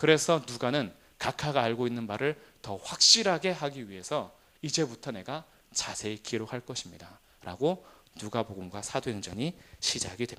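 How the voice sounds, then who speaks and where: Lively intonation and big swings in loudness mark this man's medium-pitched voice, which has a bright, sharp tone. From South Korea, Jumunjin (Gangwon coast). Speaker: pastor teaching Bible class. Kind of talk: Bible lecture. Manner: fast; fillers like uh.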